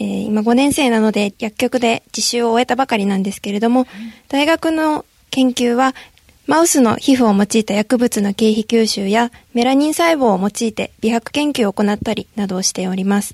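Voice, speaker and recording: A woman with a plain, everyday voice speaks at a moderate pace in a fairly high pitch with ordinary pitch variation, the sound dry and close with no echo. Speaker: pharmacy student. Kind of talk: roundtable discussion. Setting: radio studio.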